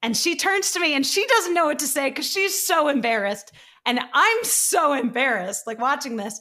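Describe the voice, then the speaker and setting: A woman's raised, projected, high-pitched voice at a moderate pace, with very wide pitch swings. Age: 20s. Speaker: author and TV writer. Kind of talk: casual chat. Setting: video call.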